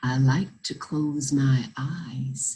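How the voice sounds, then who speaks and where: A woman puts on a character voice pitched very deep and low. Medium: read story. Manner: courteous.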